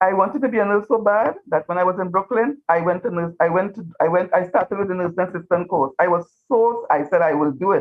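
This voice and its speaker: Very fast speech from a woman in a Trinidadian accent, medium in pitch, with ordinary pitch variation and hardly any pauses. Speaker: retired teacher. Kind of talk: interview.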